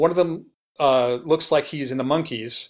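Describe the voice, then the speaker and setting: An ordinary speaking voice comes from a man with an American accent, speaking at a moderate pace and a fairly high pitch on a very clean recording with a silent background. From New York City, Queens. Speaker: TV producer and music website founder. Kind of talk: interview.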